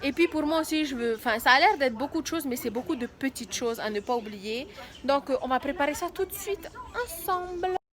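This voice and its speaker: A woman's high, lively voice at a fairly quick pace, against noticeable background noise. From Tahiti, French Polynesia. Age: 20s. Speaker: mother and vlogger. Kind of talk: casual vlog talk to camera.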